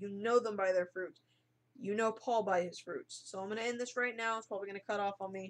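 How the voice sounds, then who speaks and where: Speaking very fast, a woman keeps a medium pitch and fairly even intonation. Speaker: online Bible teacher. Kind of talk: bible study monologue. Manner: halting.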